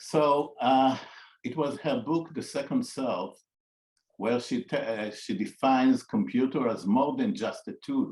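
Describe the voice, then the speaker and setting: The background is quiet. A man talks with an Israeli accent. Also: fairly slow pace. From Israel (raised on a kibbutz). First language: Hebrew. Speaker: psychologist. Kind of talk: interview conversation. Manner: halting, with frequent fillers and repetitions.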